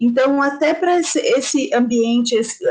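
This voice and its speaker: Audible room echo is present. A woman talks with lively intonation. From Brazil, São Paulo. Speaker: investment educator. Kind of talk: online lecture.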